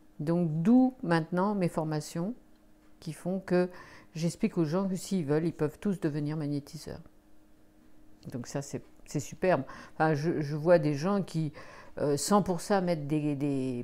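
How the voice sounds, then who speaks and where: A woman with a very deep, low pitch speaks in a dark, mellow tone at a fairly slow pace. She leaves long, frequent pauses, on a very clean recording with a silent background. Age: 60s. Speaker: energy healer and sophrologist. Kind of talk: interview. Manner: hesitant, many fillers.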